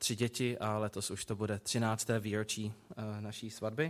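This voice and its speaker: A man speaks at a fairly slow pace and medium pitch in a normal speaking voice. The recording is very clean, with a silent background. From Prague, Czechia. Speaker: preacher. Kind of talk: sermon.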